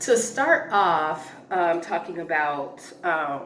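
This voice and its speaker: Through noticeable background noise and audible room echo, a woman speaks at a fairly low pitch. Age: 40s. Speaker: personal finance vlogger. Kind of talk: casual chat. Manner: casual, halting with fillers.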